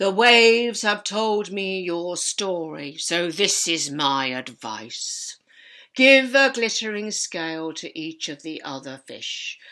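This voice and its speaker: Putting on a high-pitched character voice, a man speaks at a fairly slow pace on a very clean recording with a silent background. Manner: wise, solemn.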